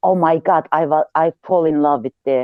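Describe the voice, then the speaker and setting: Speaking with ordinary pitch variation, a woman has a fairly low voice. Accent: Turkish. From Turkey. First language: Turkish. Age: 50s. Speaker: audience speaker in online discussion. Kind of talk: casual personal account. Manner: halting, hesitant.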